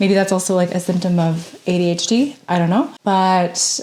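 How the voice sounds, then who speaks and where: Speaking at a fairly slow pace, a woman has a plain, everyday voice pitched at a medium level. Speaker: sewing content creator. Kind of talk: casual vlog narration. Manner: casual.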